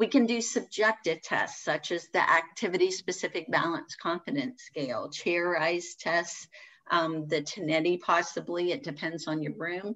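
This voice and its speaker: A woman has an ordinary speaking voice, fairly low in pitch. She talks at a fairly slow pace with ordinary pitch variation. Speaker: physical therapist. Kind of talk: webinar presentation. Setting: online webinar. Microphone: webcam.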